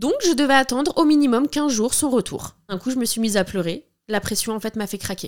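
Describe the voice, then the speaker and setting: On a very clean recording with a silent background, a woman speaks at a fairly quick pace, her high pitch making very wide swings. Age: 30s. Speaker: podcast host, documentary maker. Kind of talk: scripted narration.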